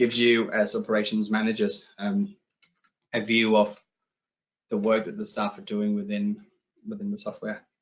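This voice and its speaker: A man speaks at a moderate pace with a Danish accent. He leaves long, frequent pauses, and his loudness swings widely. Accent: Danish, noticeable. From Denmark. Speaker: software company client director. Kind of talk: webinar presentation. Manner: hesitant, many fillers.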